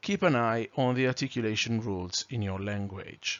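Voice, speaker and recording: At a fairly slow pace, a man with a non-native accent speaks in a medium pitch. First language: not English. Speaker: trainer. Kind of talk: lecture. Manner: clear, carefully articulated.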